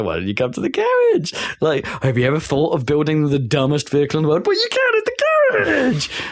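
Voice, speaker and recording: Putting on a squeaky character voice, a man talks at a fairly quick pace. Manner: cheerfully nagging.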